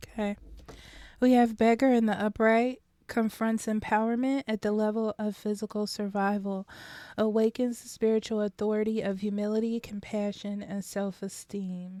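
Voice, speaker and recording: This woman's voice is fairly high in pitch, with a dark, mellow tone and monotone, flat intonation. The recording is very clean, with a silent background. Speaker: tarot reader. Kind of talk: tarot reading. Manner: slow to catch breath.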